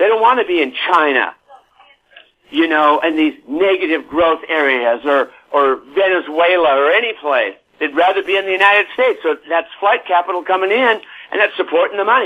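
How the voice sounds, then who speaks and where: A man speaks at a fairly quick pace in a high pitch. His intonation is lively. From US, San Diego. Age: 70s. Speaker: real estate author and market commentator. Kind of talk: interview. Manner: animated.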